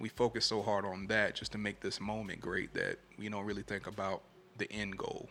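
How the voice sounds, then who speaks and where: Soft-spoken, this man talks at a fairly low pitch. His intonation is monotone and flat, and his pace is moderate. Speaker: podcast host. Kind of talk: casual chat.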